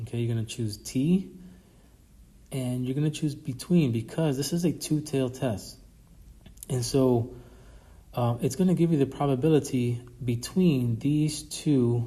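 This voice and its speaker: Speaking fairly slowly, a man with a medium pitch and a dark, mellow tone sounds somewhat breathy, with ordinary pitch variation and audible room echo. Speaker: statistics professor. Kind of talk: recorded lecture review.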